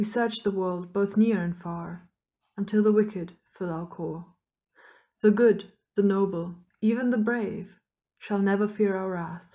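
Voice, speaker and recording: With a dark, mellow tone, a woman speaks at a medium pitch and with fairly even intonation. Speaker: author. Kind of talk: poetry reading.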